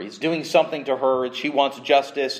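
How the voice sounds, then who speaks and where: A man speaks with an American accent. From Southern California. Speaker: pastor. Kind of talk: sermon. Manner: halting, with frequent restarts.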